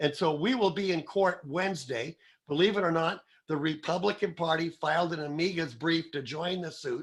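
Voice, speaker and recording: Putting on a character voice, a man speaks hoarse and raspy at a high pitch, moderately paced with ordinary pitch variation. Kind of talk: radio host, informative.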